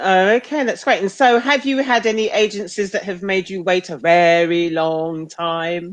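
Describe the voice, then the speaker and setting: In a normal speaking voice, a woman of medium pitch talks with lively intonation and hardly any pauses. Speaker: interviewer. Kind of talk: interview questions.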